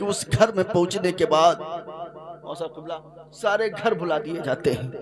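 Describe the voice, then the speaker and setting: Noticeable background noise sits behind a man speaking at a high pitch. He shows ordinary pitch variation and takes long, frequent pauses. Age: young. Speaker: Islamic preacher. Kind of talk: religious sermon. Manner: emotional storytelling.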